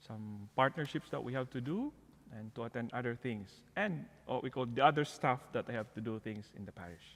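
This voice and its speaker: With a Filipino accent, a man talks at a fairly quick pace and medium pitch, using lively intonation and big swings in loudness. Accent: Filipino accent, noticeable. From Philippines. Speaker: parish outreach coordinator. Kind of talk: interview, personal testimony.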